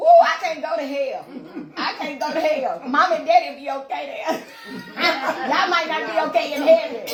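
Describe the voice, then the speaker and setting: Extremely high in pitch, a woman speaks in an animated tone at a moderate pace with ordinary pitch variation. Noticeable background noise and audible room echo surround her voice. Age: 40s. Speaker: podcast host. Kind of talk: casual chat.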